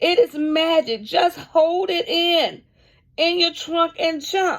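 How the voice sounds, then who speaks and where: A woman does a put-on character voice, pitched extremely high and delivered at a fairly slow pace. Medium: read story. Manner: encouraging, warm.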